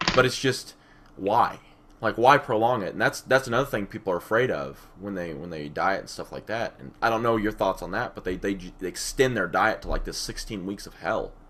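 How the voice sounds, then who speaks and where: A man's medium-pitched voice with vocal fry, lively intonation, big swings in loudness, and a fairly quick pace. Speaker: fitness podcast co-host. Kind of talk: casual chat.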